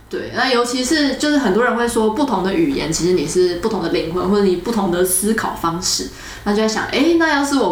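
Over music in the background and audible room echo, a woman talks at a fairly quick pace with lively intonation. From Taiwan, Keelung and Taipei. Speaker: podcast host. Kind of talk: casual chat.

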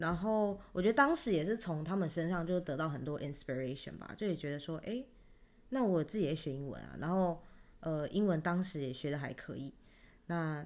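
A woman speaks in a normal speaking voice at a fairly quick pace. Her pitch is fairly low and her intonation lively. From Taiwan. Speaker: podcast co-host. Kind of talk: casual chat.

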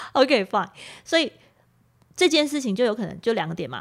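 This woman has a plain, everyday voice, pitched fairly high. Her intonation is lively. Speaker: podcast host. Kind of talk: casual chat. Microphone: new individual microphone.

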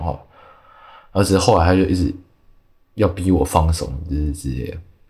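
Speaking at a very fast clip, a man with a very deep, low voice sounds somewhat breathy and varies his pitch in an ordinary way. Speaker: artist, podcast guest. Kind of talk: casual interview chat.

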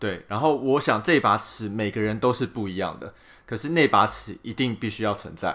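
A man speaks at a moderate pace with a bright, sharp tone, medium pitch and ordinary pitch variation. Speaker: podcast co-host. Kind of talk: casual chat.

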